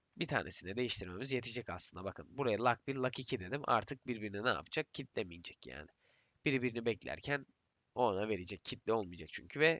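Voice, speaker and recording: This man talks at a fairly quick pace with lively intonation, a medium pitch and vocal fry. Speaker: software tutorial creator. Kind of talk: programming tutorial. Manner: strained, effortful speech.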